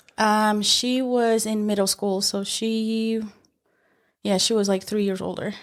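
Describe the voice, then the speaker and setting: A woman with a Spanish accent speaks at a fairly slow pace in a fairly high pitch, her intonation monotone and flat. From Mexico, Michoacán; moved to Utah at eleven. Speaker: paralegal. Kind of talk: interview. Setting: on camera at the workplace.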